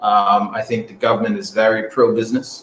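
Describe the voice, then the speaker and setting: A man talks at a moderate pace. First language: not English. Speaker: airline executive. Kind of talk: radio interview. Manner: halting, many fillers.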